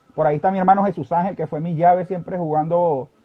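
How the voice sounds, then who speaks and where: This man has a high pitch. He talks at a very fast pace. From Venezuela, Barquisimeto (Lara). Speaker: sports journalist. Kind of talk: interview.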